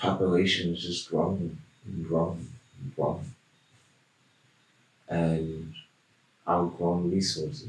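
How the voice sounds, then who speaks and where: A man talks at a very slow pace, with long, frequent pauses. His very deep, low voice is somewhat breathy, and his intonation is lively. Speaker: shaman, hypnosis client. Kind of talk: hypnosis session answers in a deep trance. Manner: slow, dreamy, trance-like.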